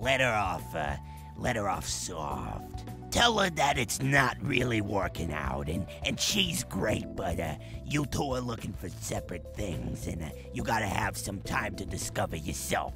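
A cartoonish character voice moves along at a moderate pace. Loud music plays in the background. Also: man, very deep, low pitch for a man. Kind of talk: comedic advice hotline. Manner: chatty, gleeful.

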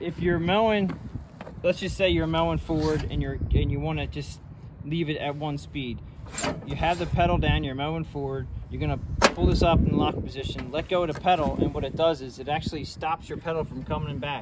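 Fairly quick speech against loud background noise. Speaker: equipment owner demonstrating. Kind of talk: tutorial. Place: farm machine. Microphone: phone near.

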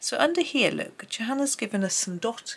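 A woman with a Gloucestershire accent talks at a moderate pace with lively intonation. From England, Gloucestershire. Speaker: art tutorial youtuber. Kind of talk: tutorial. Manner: casual, chatty.

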